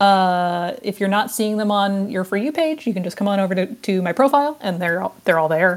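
Over a silent background on a very clean recording, a woman uses a normal speaking voice with a fairly high pitch and lively intonation. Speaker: archaeologist and TV producer. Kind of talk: casual chat.

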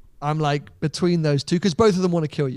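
Energetic in tone, a man with a British accent speaks at a fairly high pitch. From Britain. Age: 30s. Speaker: YouTuber. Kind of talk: casual chat.

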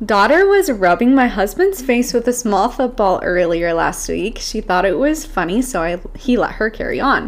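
Over noticeable background noise, a woman speaks in a high pitch with very wide pitch swings and hardly any pauses. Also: moderate pace. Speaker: mom influencer. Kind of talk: casual chat. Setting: Airbnb room. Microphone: echoey room audio.

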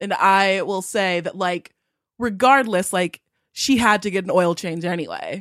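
A normal speaking voice with an American accent, ordinary pitch variation and a fairly slow pace, on a very clean recording with a silent background. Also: woman, medium pitch for a woman. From Southern California. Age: 20s. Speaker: podcast guest. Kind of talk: casual chat.

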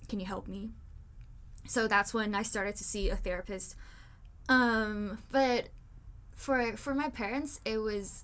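At a fairly slow pace, a woman talks in a fairly high pitch with ordinary pitch variation. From Taiwan. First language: Mandarin Chinese. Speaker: podcast host. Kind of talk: casual chat.

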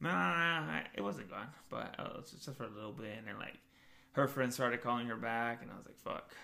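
With audible room echo, a man with an American accent talks at a fairly quick pace and medium pitch, his bright, sharp tone marked by lively intonation and big swings in loudness. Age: 30s. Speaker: podcast co-host. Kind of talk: casual chat. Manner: animated.

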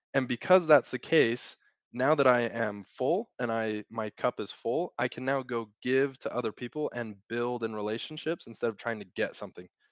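In a Utah accent, a man of medium pitch talks at a moderate pace with hardly any pauses and ordinary pitch variation, the sound dry and close with no echo against a quiet background. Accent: American (Utah). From Utah, US. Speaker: operations consultant. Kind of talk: casual chat.

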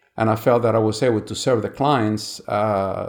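A medium-pitched man with a Spanish accent, speaking at a moderate pace. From Cuba. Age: 70s. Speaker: retired insurance agent. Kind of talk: interview.

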